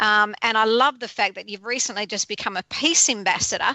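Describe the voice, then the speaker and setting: This woman has an Australian accent. She speaks at a fairly quick pace. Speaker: radio host. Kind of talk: radio show intro; interview.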